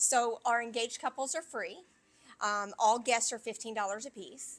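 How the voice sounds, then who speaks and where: This woman speaks with a Kentucky accent at a moderate pace, her pitch fairly high. Her pitch varies in an ordinary way, while her loudness swings widely. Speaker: venue manager. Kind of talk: interview.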